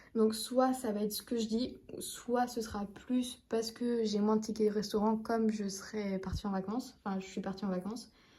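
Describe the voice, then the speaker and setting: The voice has a dark, mellow tone and is somewhat breathy. It moves at a moderate pace with monotone, flat intonation. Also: woman. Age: 20s. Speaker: budgeting vlogger. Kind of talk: casual vlog talk to camera. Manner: hesitant, many fillers.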